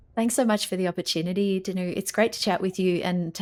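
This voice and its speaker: A woman with an Australian accent speaks with fairly even intonation on a very clean recording with a silent background. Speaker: physical therapy researcher and journal editor. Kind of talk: podcast interview.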